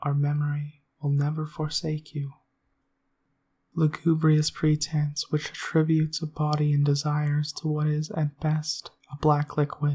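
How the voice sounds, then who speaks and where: A soft-spoken voice moving at a fairly slow pace. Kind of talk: essay reading.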